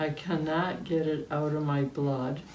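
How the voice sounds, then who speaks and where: A woman with an American accent, a very deep, low pitch and monotone, flat intonation at a fairly slow pace, amid audible room echo. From upstate New York, Cayuga County. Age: 80s+. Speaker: interviewee recalling local memories. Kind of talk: oral history interview. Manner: hesitant, many fillers.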